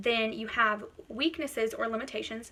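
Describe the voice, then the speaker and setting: A woman's fairly high, fairly quick voice amid noticeable background noise and audible room echo. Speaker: college instructor. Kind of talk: lecture. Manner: loud; animated.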